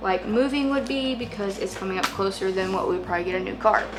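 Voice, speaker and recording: A woman talks with lively intonation. Noticeable background noise and audible room echo are present. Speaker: family vlogger. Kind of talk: casual tutorial vlog. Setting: home office, speaking to camera. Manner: rambling, filler-heavy.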